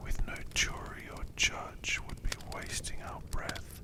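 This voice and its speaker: Whispering comes through at a very slow pace over noticeable background noise. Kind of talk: whispered ASMR audiobook reading for sleep. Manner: whispered.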